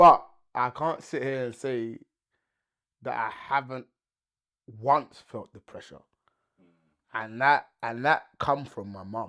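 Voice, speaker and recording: In a London accent with a bright, sharp tone, the speech goes at a very slow pace with long, frequent pauses, ordinary pitch variation and big swings in loudness on a very clean recording with a silent background. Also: man, medium pitch for a man. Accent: London English, multicultural London. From London, England (British Nigerian). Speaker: podcast host. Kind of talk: casual podcast chat.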